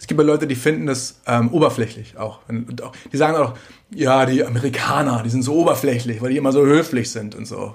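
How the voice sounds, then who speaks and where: This man's voice is medium-pitched and somewhat breathy, with ordinary pitch variation. He talks at a fairly quick pace, and his volume rises and falls sharply. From Germany. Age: 30s. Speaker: singer-songwriter. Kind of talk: casual chat. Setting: home kitchen.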